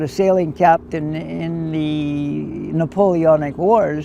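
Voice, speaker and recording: A man with a Canadian accent speaks at a fairly high pitch with ordinary pitch variation. Noticeable background noise is present. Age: 70s. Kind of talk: interview testimony.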